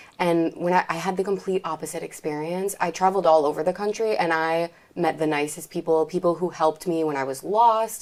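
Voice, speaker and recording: In an American accent, a woman talks at a fairly quick pace with hardly any pauses, a fairly low pitch and fairly even intonation. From Michigan, US. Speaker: American expat in France. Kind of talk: casual chat. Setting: in person, group sit-down.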